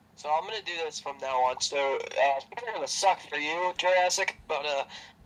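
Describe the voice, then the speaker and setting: A man at a moderate pace, with ordinary pitch variation, over noticeable background noise. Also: fairly high pitch for a man. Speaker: YouTuber and streamer. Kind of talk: casual chat. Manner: loud. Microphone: voice usually too quiet on recordings.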